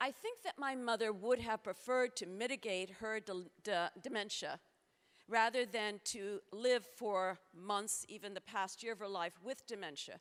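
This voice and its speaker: Here is a woman with an ordinary speaking voice at a fairly high pitch. She keeps a moderate pace and ordinary pitch variation. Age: 60s. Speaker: futurist speaker. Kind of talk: conference talk.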